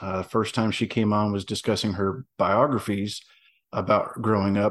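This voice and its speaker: A man with a Southern US accent at a fairly slow pace. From US South. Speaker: veteran and novelist. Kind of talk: casual interview chat.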